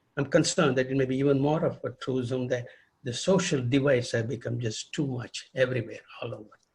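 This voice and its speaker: Fairly fast and a little breathy, this voice keeps its intonation mostly level. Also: man, medium pitch for a man. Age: 80s+. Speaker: retired pediatric rheumatologist. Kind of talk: interview. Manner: halting.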